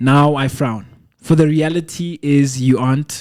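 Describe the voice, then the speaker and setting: In a Lesotho accent, a man speaks at a fairly slow pace with a fairly high pitch, a dark, mellow tone and fairly even intonation. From South Africa. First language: Sesotho. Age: 20s. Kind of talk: poetry reading.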